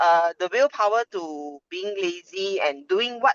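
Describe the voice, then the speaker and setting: A woman speaks at medium pitch with a Malaysian accent. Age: 50s. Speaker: workshop participant. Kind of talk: casual sharing. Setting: video call from parked car. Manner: halting.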